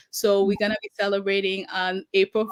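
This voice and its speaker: A woman speaks in a Haitian accent. Her pitch is medium and her pace moderate. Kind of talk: interview.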